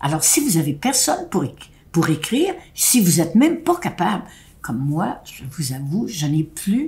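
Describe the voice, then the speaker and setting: A woman speaks somewhat breathily at a fairly slow pace, with a fairly low pitch and very wide pitch swings. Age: 90s. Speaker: elderly speaker addressing seniors. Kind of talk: direct-to-camera address. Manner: halting.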